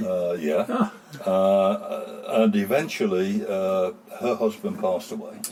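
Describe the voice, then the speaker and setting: A man with a West Midlands accent at a fairly slow pace, amid noticeable background noise. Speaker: town crier. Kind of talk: interview answer.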